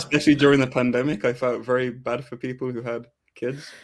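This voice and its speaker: Speaking at a fairly quick pace, a man with an American accent has a medium-pitched voice. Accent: English with slight American twang. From England, Coventry. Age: 30s. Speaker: football fan podcast guest. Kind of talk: casual chat.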